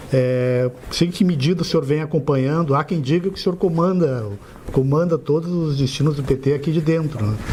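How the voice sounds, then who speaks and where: Noticeable background noise sits behind a man speaking at a fairly quick pace. His pitch is fairly high, with ordinary pitch variation. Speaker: journalist interviewer. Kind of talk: interview. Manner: soft-spoken, quiet.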